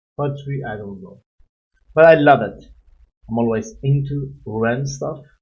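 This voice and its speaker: A man with a non-native accent talks at a fairly slow pace in a fairly high, somewhat breathy voice. Audible room echo surrounds him. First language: not English. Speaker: music reaction youtuber. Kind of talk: reaction video commentary. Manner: animated.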